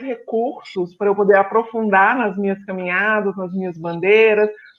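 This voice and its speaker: A woman's medium-pitched voice in a Minas Gerais accent, with ordinary pitch variation. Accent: Minas Gerais (mineiro). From Brazil, Belo Horizonte (Minas Gerais). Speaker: psychologist. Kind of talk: live-stream interview.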